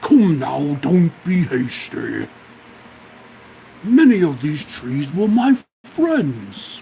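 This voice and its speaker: A put-on character voice at a middle pitch, spoken at a very slow pace. Long pauses come often. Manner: slow, deliberate, solemn.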